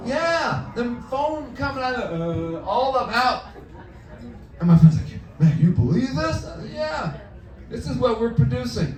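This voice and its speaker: The voice moves at a fairly slow pace with very wide pitch swings. Noticeable background noise and audible room echo fill the recording. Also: man, high pitch for a man, big swings in loudness. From East St. Louis, Illinois. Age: 60s. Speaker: stand-up comedian. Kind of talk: stand-up. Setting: comedy club stage with audience.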